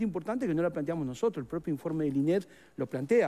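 A man with a Rioplatense accent talks at a very fast pace in a dark, mellow tone. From Uruguay. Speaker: teachers' union leader. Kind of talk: interview. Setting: studio. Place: studio. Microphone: headset.

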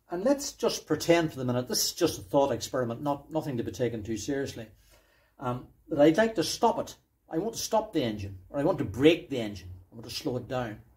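The voice is somewhat breathy with very wide pitch swings. The pace is very fast. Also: man, fairly high pitch for a man. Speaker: engine enthusiast video maker. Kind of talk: technical explainer tutorial. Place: workshop.

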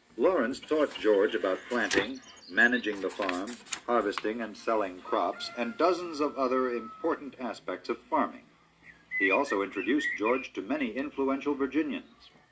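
A man at a moderate pace with lively intonation over noticeable background noise. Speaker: audiobook narrator. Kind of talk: storybook narration. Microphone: old recording.

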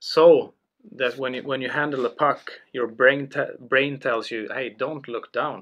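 A man speaks with a Swedish accent at a fairly slow pace. His intonation stays fairly even. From Sweden, Karlstad, Värmland. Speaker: former hockey pro and entrepreneur. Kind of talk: interview. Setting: studio. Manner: halting. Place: meeting room. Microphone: studio mic.

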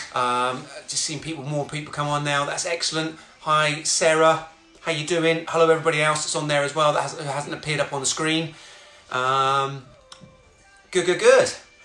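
A man at a moderate pace, monotone and flat, with long, frequent pauses and audible room echo. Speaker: fitness instructor. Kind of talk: live workout instruction. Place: home room. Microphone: phone near.

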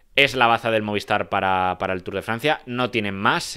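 A man's fairly low voice with a bright, sharp tone, moderate pace and a quiet background. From Spain. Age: 20s. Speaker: cycling analyst. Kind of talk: solo video commentary. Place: home room. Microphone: handheld.

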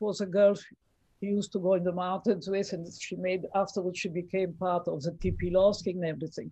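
Recorded dry with no echo and a quiet background, a woman speaks at a fairly quick pace in a somewhat breathy voice with a dark, mellow tone and monotone, flat intonation. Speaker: relative of a saint. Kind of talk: conversational interview. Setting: video call. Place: home room. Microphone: video call.

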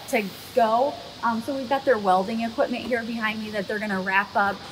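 A woman speaks fairly quickly while noticeable background noise is heard. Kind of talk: casual guided tour explanation. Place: farm machine. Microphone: camera far.

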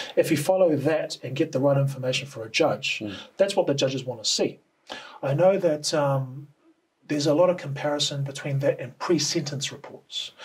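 A man with a New Zealand accent talks at a fairly quick pace in a fairly high, somewhat breathy voice. His pitch varies in an ordinary way over a quiet background. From New Zealand, Auckland. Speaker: cultural report writer. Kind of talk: interview. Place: studio.

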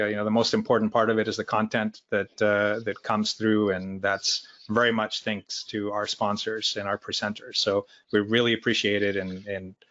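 A man with a fairly low pitch talks at a moderate pace in a normal speaking voice. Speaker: user group host opening the meeting. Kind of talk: meeting introduction remarks. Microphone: video call.

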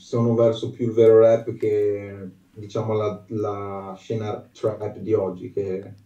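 A man speaks very slowly in a fairly low voice, with audible echo in the room. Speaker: aspiring singer; guest. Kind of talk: interview answer. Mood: earnest, a bit shy. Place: home room.

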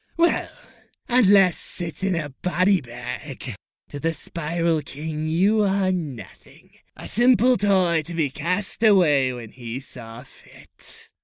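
Delivered in a put-on character voice at a middle pitch, the menacing tone unfolds at a fairly slow pace. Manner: menacing, gloating.

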